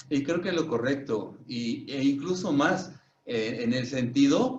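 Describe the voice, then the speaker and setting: Somewhat breathy, this man speaks at a fairly slow pace. His pitch is fairly high. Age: 60s. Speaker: Reiki master and psychologist. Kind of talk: casual chat.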